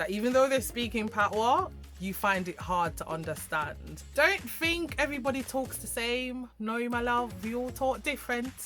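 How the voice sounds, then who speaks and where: A woman's fairly high, upbeat voice with lively intonation at a moderate pace, with music in the background. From Jamaica. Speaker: YouTuber. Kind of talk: casual talk to camera.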